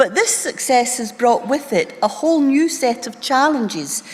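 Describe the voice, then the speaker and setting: A woman with a Scottish accent speaks with lively intonation. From Scotland, Wishaw (Lanarkshire). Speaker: doctor, medical college leader. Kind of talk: conference keynote speech. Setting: stage with audience. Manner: formal.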